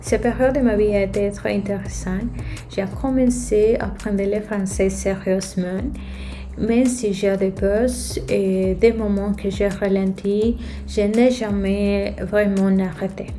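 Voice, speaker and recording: Over noticeable background noise, a woman with a Spanish-speaking accent speaks at a very slow pace. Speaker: app and video game developer. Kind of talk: casual talk to camera.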